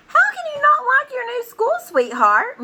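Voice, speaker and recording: A woman puts on a squeaky character voice at an extremely high pitch. Her intonation is lively and her pace moderate. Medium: read story. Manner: warm, cajoling.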